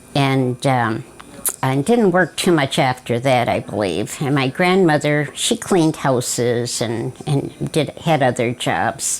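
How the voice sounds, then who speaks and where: A woman with an American accent speaks at a very slow pace in a very deep, low pitch, with lively intonation and very even loudness. Noticeable background noise sits behind her. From US Midwest, southwest Detroit, Michigan. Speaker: family elder interviewee. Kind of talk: oral history interview. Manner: halting, many fillers.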